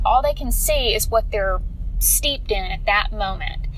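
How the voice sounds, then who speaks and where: A woman speaks at moderate speed, with audible room echo and noticeable noise in the background. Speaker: fitness coach and podcast host. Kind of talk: casual devotional monologue.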